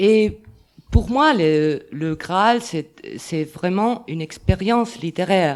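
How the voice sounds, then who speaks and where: Lively intonation marks a woman speaking at a very slow pace. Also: medium pitch for a woman. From Catalonia, Spain. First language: Catalan or Spanish (speaking French). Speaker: literature scholar. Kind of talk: round table talk. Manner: halting.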